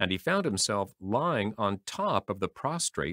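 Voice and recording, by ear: A natural voice reading aloud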